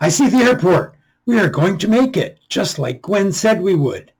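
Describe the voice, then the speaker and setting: A man performs a put-on character voice. It is high-pitched and moves at a moderate pace. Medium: read story. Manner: earnest.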